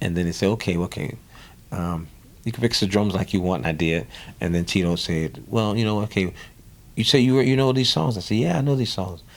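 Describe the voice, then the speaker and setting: A man with a New Orleans accent talks at a fairly quick pace, his fairly low pitch carried by lively intonation. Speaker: drummer. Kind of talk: interview. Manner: animated storytelling.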